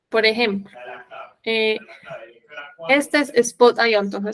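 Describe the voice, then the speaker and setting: Her sound dry and close with no echo, a woman with fairly high pitch speaks at a fairly slow pace with fairly even intonation. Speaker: software trainer. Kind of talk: tutorial.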